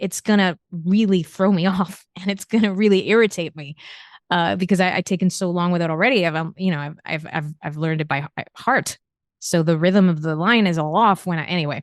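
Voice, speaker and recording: Speaking at a fairly quick pace in a Spanish accent, a woman with a fairly low pitch sounds dry and close with no echo against a quiet background. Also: ordinary pitch variation. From Spain. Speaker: novelist. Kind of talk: interview. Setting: podcast interview. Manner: halting, frequent self-repetition.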